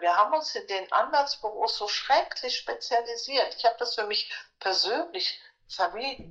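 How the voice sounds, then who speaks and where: A woman's voice sits at a high pitch and makes very wide pitch swings. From Germany, Frankfurt. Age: old. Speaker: supervisory board member and former lawyer. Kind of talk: interview.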